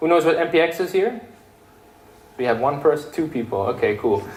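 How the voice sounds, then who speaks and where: A man's lively intonation over noticeable background noise. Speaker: software developer giving a tech talk. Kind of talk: meetup tech talk with live coding demo. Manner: loud; casual, filler-heavy and animated.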